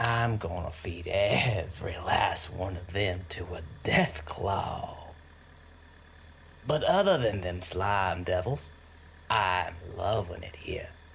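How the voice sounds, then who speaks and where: Doing a put-on character voice, a man speaks very slowly at a very deep, low pitch with long, frequent pauses over clear background noise. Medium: audio drama. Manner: brash, crude and boastful.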